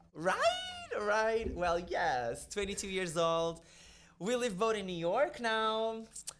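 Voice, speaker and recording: Noticeable background noise and audible room echo surround a man's high-pitched voice. He talks at a very slow pace with lively intonation. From Portugal. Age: 20s. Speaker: drag queen. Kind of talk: casual chat. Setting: studio.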